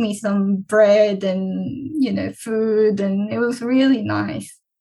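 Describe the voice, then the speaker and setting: The speaker has a Korean accent and ordinary pitch variation. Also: woman. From South Korea. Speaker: PhD researcher. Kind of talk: interview, conversational.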